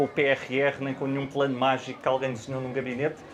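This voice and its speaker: Noticeable background noise accompanies a man speaking at a very fast pace. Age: 30s. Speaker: finance executive and guest lecturer. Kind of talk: panel discussion. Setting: book fair auditorium with audience. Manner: halting, many hesitations and repetitions.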